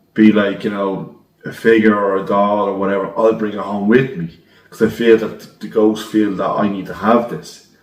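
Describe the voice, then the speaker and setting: A man with a Dublin accent talks at a moderate pace in a fairly low, monotone, flat voice, with big swings in loudness. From Ireland, Dublin. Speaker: decorator telling a ghost story. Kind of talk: recorded story submission. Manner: casual storytelling.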